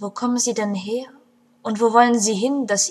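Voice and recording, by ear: Natural-voiced reading aloud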